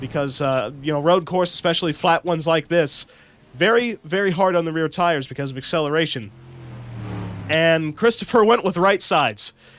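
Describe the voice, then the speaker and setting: A high-pitched male voice with an Ohio accent, animated in tone, lively in intonation and fairly quick in pace. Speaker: sim racing YouTuber doing commentary. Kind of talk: mock race broadcast commentary. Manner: casual, animated play-by-play.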